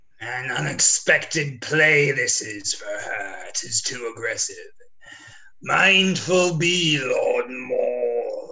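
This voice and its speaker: Using a put-on character voice, a man speaks at a very slow pace and a fairly high pitch with big swings in loudness, over light background noise. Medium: stage play.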